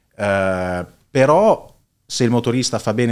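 In a very clean recording with a silent background, the speech carries ordinary pitch variation. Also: man. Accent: Bolognese. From Italy, Bologna (Casalecchio di Reno). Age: 30s. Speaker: entrepreneur, heir of a family business. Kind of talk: casual interview.

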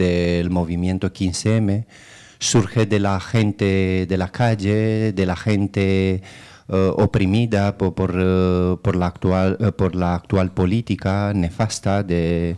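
With a Romanian accent, a man speaks in a very deep, low pitch. His pace is very slow and his intonation fairly even. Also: quiet background. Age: 30s. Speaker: local political candidate. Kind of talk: radio interview. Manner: hesitant, many fillers. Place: studio.

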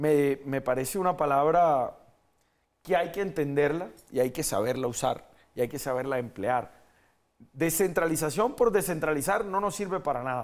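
A man with fairly high pitch, lively intonation and moderate pace over a quiet background. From Colombia. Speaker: mayoral candidate, politician; candidate, politician. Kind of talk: political interview. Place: studio. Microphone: lapel.

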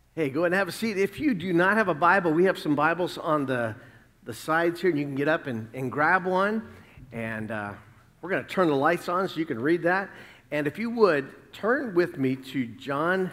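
Man with lively intonation at a moderate pace. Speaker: pastor. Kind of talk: sermon. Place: church.

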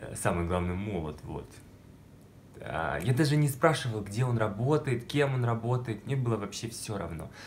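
Over light background noise, a man talks in a somewhat breathy voice at a medium pitch. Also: lively intonation, moderate pace. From Russia, small village. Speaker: video blogger. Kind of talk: personal storytelling vlog. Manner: animated. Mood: playful, dramatic storytelling. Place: home room. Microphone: phone near.

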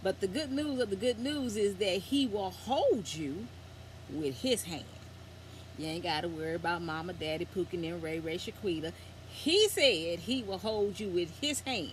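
A woman talks at a moderate pace in a somewhat breathy voice with very wide pitch swings. The sound is dry with no echo, with light background noise. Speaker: vlogger. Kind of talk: casual vlog chat with scripture reading. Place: home room. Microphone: phone near.

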